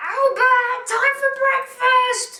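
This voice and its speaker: Squeaky and extremely high-pitched, a woman performs a put-on character voice. Her intonation stays monotone and flat. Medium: comedy sketch. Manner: impatient, shouting.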